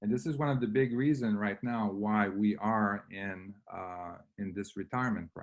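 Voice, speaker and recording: A man speaks with a slight French Canadian accent. His pitch sits fairly low. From Quebec. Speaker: real estate investor. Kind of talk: webinar presentation. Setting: online webinar. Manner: halting, many fillers.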